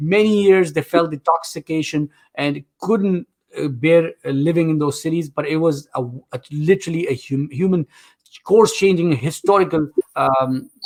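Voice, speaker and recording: Speaking at a moderate pace with a non-native accent, a man uses a fairly high pitch in a dry, close sound with no echo. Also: ordinary pitch variation. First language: not English. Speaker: game show host. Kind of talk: live game show hosting. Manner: animated.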